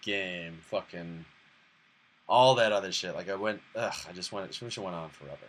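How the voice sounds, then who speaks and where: A plain, everyday voice from a man with an American accent, fairly low in pitch, at a moderate pace. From Boston. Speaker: live streamer. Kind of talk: casual chat. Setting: live stream.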